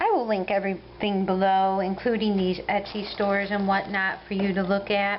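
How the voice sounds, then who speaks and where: With an American accent, a woman speaks at a medium pitch and a moderate pace, her intonation monotone and flat, her loudness very even and her pauses hardly there. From US Midwest, Ohio. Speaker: crochet vlogger. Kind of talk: casual video update.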